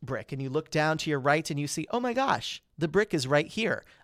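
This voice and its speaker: The recording is very clean, with a silent background. A man talks at a fairly quick pace and a fairly high pitch. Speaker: podcast host and public speaking coach. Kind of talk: solo podcast tutorial. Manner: fast; animated.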